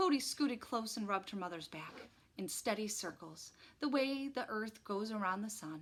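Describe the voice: The clip consists of plain reading aloud.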